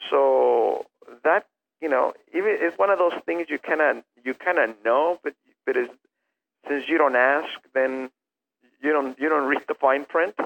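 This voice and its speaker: A man talks at a fairly slow pace with a Spanish accent, leaving long, frequent pauses. The sound is dry and close, with no echo. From Mexico, Jalisco. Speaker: furniture company founder. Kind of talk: interview. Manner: halting, many repetitions.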